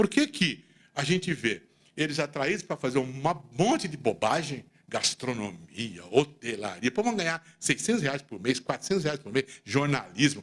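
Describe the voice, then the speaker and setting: Pitch swings very widely at a moderate pace. Vocal fry runs through the voice. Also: man, fairly high pitch for a man. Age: 60s. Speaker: accountant and business leader giving a talk. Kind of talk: speech to audience. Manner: animated.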